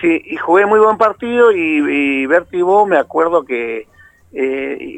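Speaking with an Argentine accent, a man uses lively intonation. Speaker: retired footballer. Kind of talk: interview.

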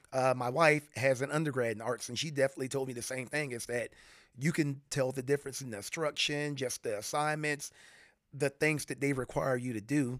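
A man with an American accent and a normal speaking voice, medium pitch, fairly even intonation and a fairly quick pace on a very clean recording with a silent background. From US South, Florida (St. Petersburg/Tampa Bay). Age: 40s. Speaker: retired Air Force veteran and furniture maker. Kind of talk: casual interview. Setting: in a home, face to face.

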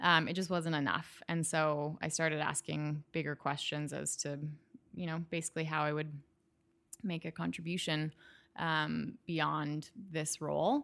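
Speaking in a Canadian accent, a woman talks at a fairly slow pace in a very deep, low pitch with monotone, flat intonation. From Western Canada (Calgary). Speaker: lighting designer. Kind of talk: casual interview chat. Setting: at home in her kitchen.

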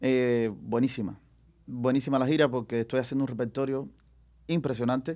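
A man at medium pitch with a normal speaking voice and a fairly quick pace. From Cuba. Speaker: singer. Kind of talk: casual chat.

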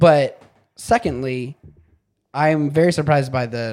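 A man's dark, mellow voice with ordinary pitch variation. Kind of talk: casual chat.

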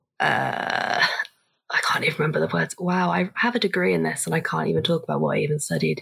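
Speaking at a very fast pace, a woman talks with a British accent. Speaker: former college athlete. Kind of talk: casual chat.

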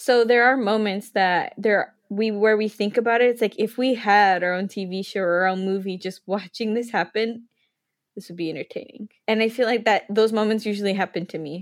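The delivery is fairly quick, in an unremarkable speaking voice. Intonation remains fairly even throughout. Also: woman, fairly high pitch for a woman. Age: 20s. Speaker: podcast co-host. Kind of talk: casual chat.

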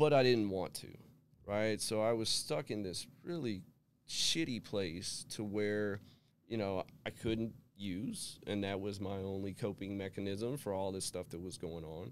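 This is an unremarkable speaking voice from a man with an American accent, fairly low in pitch and with ordinary pitch variation. He talks at a fairly slow pace on a very clean recording with a silent background. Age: 40s. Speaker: person in recovery. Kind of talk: testimony. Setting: studio.

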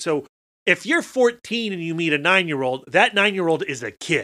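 On a very clean recording with a silent background, a man with a high pitch and a bright, sharp tone speaks at a moderate pace with lively intonation. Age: 40s. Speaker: podcast host guest. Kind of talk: casual chat.

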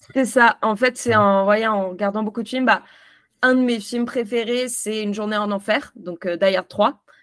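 A woman with a normal speaking voice, fairly high pitch, fairly even intonation and a moderate pace. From France. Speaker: film youtuber. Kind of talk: casual interview. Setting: video call.

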